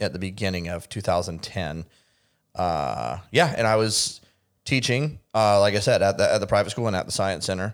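In a normal speaking voice, a man talks at a moderate pace with fairly low pitch and lively intonation. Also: very clean recording, silent background. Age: 30s. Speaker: podcast host. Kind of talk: casual chat.

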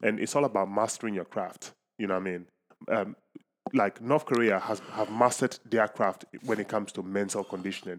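A man's normal speaking voice at a fairly low pitch, fairly even in intonation and fairly quick in pace. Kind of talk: casual chat.

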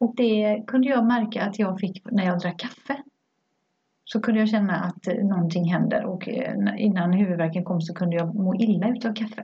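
A woman speaks in an ordinary speaking voice at medium pitch. Her pace is moderate and her pitch variation ordinary. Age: 50s. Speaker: podcast co-host. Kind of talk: casual chat.

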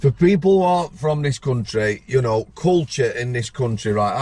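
A man talks with a Yorkshire accent at a moderate pace. His intonation is lively. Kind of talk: casual chat. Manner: animated.

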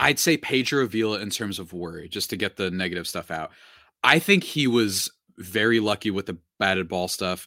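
A man talks at a moderate pace, his pitch fairly low with ordinary variation. The tone is bright and sharp, the sound dry and close with no echo, and the recording very clean over a silent background. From Puerto Rico. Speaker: baseball podcast host. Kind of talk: casual interview.

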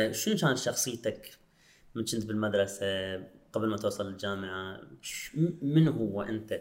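At a fairly slow pace, a man with an Iraqi accent speaks in a medium pitch. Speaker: podcast host. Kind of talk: casual interview chat.

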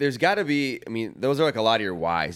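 Someone with an American accent speaks at a very fast pace with lively intonation. The recording is very clean, with a silent background. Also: man. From Wheaton, Illinois, US. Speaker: podcast co-host. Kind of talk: casual chat. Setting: studio.

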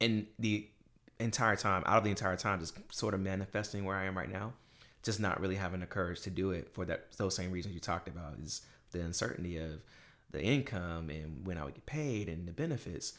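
With an American accent, a man with a very deep, low pitch speaks at a fairly quick pace on a very clean recording with a silent background. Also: ordinary pitch variation. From US South, Durham, North Carolina. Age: young. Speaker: realtor. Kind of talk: casual interview.

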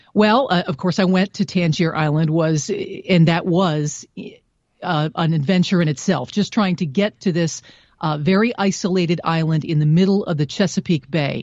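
With a normal speaking voice, a woman talks at a moderate pace. Her pitch sits fairly low, with ordinary pitch variation. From Ohio, Cleveland. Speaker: radio news reporter. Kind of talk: interview.

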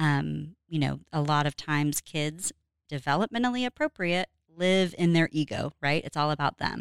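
A woman's very deep, low voice with an American accent at a moderate pace, in a dry, close sound with no echo on a very clean recording with a silent background. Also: ordinary pitch variation. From Oklahoma. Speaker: family program director. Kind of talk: interview. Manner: hesitant, many fillers.

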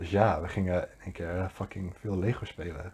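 Against a quiet background, a man speaks at a moderate pace in a dark, mellow, somewhat breathy voice with monotone, flat intonation. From Netherlands, Deventer. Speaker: podcast co-host. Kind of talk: casual chat.

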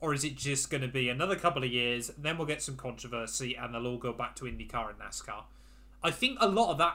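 Here a man speaks in a British accent at a medium pitch, with a bright, sharp tone. He talks at a very fast pace with ordinary pitch variation. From England. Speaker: F1 YouTuber and podcast host. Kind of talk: casual chat.

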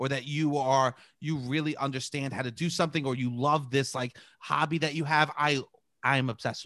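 With a strong New York accent, a man talks at a fairly quick pace in a fairly high pitch and a bright, sharp tone, on a very clean recording with a silent background. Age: 30s. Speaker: improv performer and podcaster. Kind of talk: casual chat.

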